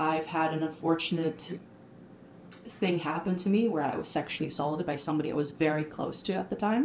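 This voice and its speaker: Noticeable background noise sits behind a woman with a very deep, low pitch. She speaks at a fairly quick pace with ordinary pitch variation. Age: 20s. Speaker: artist. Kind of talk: podcast interview, personal testimony.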